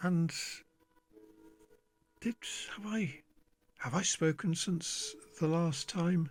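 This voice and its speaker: A quiet man with a high voice. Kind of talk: casual monologue to camera. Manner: slow, halting.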